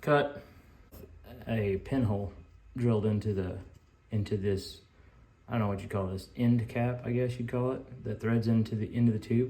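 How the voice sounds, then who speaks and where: Somewhat breathy and dark, mellow in tone, a man speaks at a moderate pace and medium pitch with fairly even intonation and long, frequent pauses. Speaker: knifemaker. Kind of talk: casual workshop vlog. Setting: workshop. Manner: mumbling; casual, halting.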